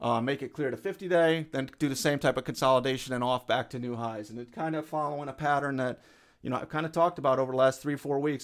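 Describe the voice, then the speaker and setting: On a very clean recording with a silent background, a man speaks very fast at a medium pitch with fairly even intonation. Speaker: stock trading streamer, former market maker. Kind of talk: live stream market commentary. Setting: live stream with chat. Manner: casual, halting with fillers.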